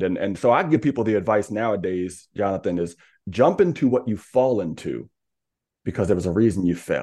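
Over a quiet background, a normal speaking voice moves at a fairly quick pace with lively intonation. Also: man. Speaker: speaker and coach. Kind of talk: casual interview.

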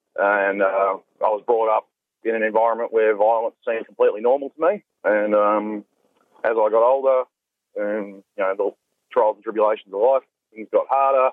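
A man's medium-pitched voice in an Australian accent, fairly even in intonation, at a moderate pace, with long, frequent pauses and big swings in loudness. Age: 20s. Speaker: reformed domestic violence perpetrator. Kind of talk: personal testimony.

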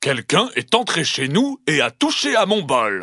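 A man bellows in a put-on character voice. His pitch is fairly high and his pace moderate. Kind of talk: storytelling narration. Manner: roaring, angry.

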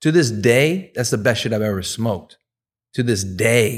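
A man with a plain, everyday voice speaks at a medium pitch with ordinary variation and a moderate pace. The recording is very clean, the background silent. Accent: American. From US East Coast, Persian heritage. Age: 30s. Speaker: cannabis breeder. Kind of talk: casual chat. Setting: studio.

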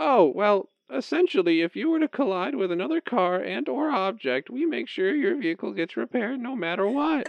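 A man talks at a fairly quick pace with hardly any pauses. His pitch is high and swings very widely. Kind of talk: comic sketch acting. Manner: cheery scripted politeness, then wary.

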